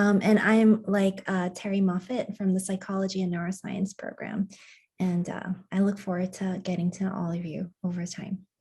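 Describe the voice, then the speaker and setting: In a dark, mellow tone, a woman talks with a somewhat breathy, monotone, flat delivery and an American accent. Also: medium pitch for a woman, moderate pace. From Brooklyn, New York. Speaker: psychology faculty member. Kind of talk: video-call self-introduction.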